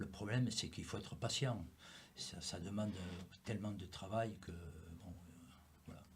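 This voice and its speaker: Very deep and low in pitch, a man speaks at a fairly slow pace, somewhat breathy. His pitch varies in an ordinary way, and audible room echo surrounds the voice. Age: 70s. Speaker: former rugby player, rugby pundit. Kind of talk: casual sports discussion panel. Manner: hesitant, many fillers.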